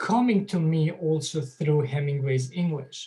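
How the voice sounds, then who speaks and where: In a Bosnian accent, a dark, mellow voice speaks at a very slow pace with ordinary pitch variation. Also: man. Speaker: author and associate professor. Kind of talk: lecture. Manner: halting, many fillers.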